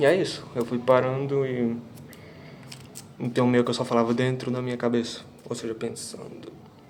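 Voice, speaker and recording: A man speaks in a flat, monotone way at a moderate pace with long, frequent pauses. Room echo and noticeable background noise are audible. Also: medium pitch for a man. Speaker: vlogger. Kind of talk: casual vlog monologue.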